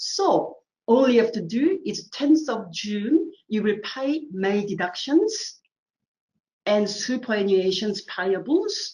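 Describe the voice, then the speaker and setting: Her pace is very slow and her voice somewhat breathy. The woman's intonation is lively. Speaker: assessor running a training webinar. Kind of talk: tutorial webinar. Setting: online webinar with screen share.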